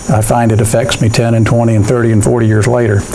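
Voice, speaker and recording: There is noticeable background noise and audible room echo as a man speaks at a medium pitch. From military family, moved around US, settled in Georgia. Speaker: accounting firm managing partner. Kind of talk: guest talk to university students. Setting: classroom, no microphone. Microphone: no mic in room.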